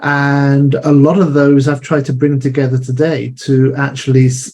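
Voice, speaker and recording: A man with an English accent speaks at a fairly high pitch in a monotone, flat way, sounding somewhat breathy. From England. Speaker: marketing business owner. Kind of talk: interview.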